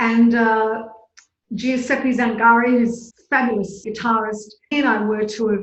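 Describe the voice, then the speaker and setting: A woman with an Australian accent speaks fairly slowly in a fairly high, somewhat breathy voice. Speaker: flutist and artistic director. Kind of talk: interview answer.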